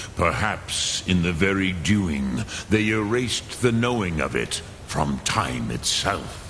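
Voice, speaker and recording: Against loud background noise, a man speaks at a fairly slow pace in a very deep, low put-on character voice. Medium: video game. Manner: slow, measured, solemn.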